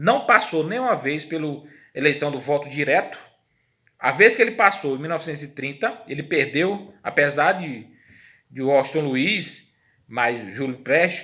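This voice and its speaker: A man with a Brazilian accent talks at a fairly slow pace in a fairly high, bright, sharp voice, his intonation lively and his loudness swinging widely, with audible room echo around him. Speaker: history teacher. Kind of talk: lecture.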